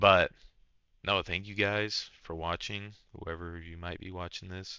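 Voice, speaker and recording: This man has a very deep, low voice with vocal fry and ordinary pitch variation. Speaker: online content creator reading and reacting to stories. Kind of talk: reading aloud with casual reactions. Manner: halting, stumbles over words; casual, slangy.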